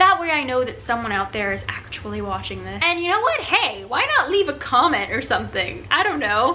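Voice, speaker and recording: Speaking fairly quickly with hardly any pauses, a woman is heard through audible room echo and noticeable background noise. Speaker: book reviewer on video channel. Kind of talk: casual video review. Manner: fast; animated.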